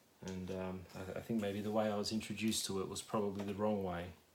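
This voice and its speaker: Audible room echo surrounds the voice. Its intonation is monotone and flat. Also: man. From Australia. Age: 30s. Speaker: ASMR youtuber, vinyl collector. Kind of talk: casual ramble. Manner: halting, many fillers.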